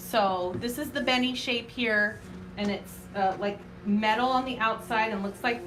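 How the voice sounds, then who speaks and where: A woman with a fairly high pitch and ordinary pitch variation speaks at a moderate pace, with audible room echo and noticeable background noise. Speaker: craft tutorial host, small business owner. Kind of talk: live craft tutorial. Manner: loud; casual, chatty with filler words.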